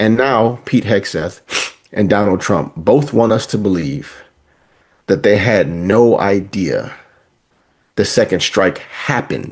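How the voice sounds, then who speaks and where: Speaking at a very slow pace with long, frequent pauses, a man keeps a fairly low pitch and very even loudness. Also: ordinary pitch variation. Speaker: podcast co-host. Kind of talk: political commentary discussion.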